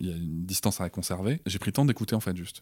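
A very fast, dark, mellow voice with ordinary pitch variation, in a dry, close sound with no echo. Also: man, very clean recording, silent background. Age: 30s. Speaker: father and entrepreneur. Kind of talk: casual interview. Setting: improvised studio.

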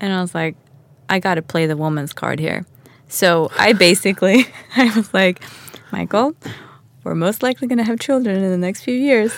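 A woman's medium-pitched voice in a Swedish accent, with lively intonation, a moderate pace and long, frequent pauses. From Stockholm, Sweden. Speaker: podcast guest, homesteader. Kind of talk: interview.

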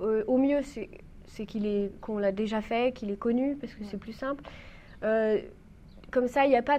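With an ordinary speaking voice and a fairly high pitch, a woman speaks at a fairly slow pace, showing ordinary pitch variation and big swings in loudness. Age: 20s. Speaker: trainee mountain guide, youtuber and writer. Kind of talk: casual interview.

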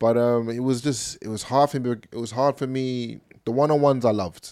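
A man with an English accent speaks in a dark, mellow tone on a very clean recording with a silent background. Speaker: podcast co-host and football coach. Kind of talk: casual chat.

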